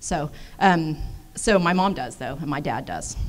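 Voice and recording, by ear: A woman with an American accent talks at a moderate pace.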